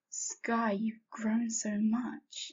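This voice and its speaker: A woman whispers in a raspy, put-on character voice. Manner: whispering, eerie.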